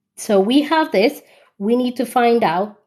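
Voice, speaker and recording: Against a quiet background, a woman speaks loudly at a fairly slow pace. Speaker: maths tutor. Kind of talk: live online tutorial. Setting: TikTok live stream. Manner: loud on stream.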